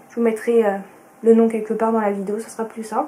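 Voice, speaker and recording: A woman with a fairly high pitch speaks in a monotone, flat intonation over noticeable background noise. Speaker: sewing vlogger. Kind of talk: casual vlog talk to camera. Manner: hesitant, many fillers.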